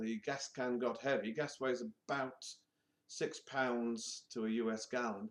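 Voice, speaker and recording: A man talks with a British accent. His pace is fairly slow. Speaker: vlogger. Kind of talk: personal vlog monologue.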